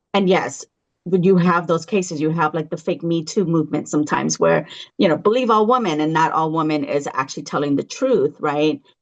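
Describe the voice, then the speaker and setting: A woman with an American accent has an ordinary speaking voice, fairly low in pitch. She talks at a fairly quick pace with lively intonation. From California, Los Angeles. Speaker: founder of a parents' advocacy group. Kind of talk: podcast interview.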